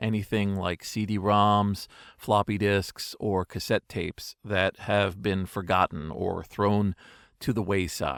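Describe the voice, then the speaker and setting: A man's fairly low voice at a very slow pace, with a dry, close sound with no echo on a very clean recording with a silent background. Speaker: digital archivist and storyteller. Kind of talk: storytelling monologue. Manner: extemporaneous.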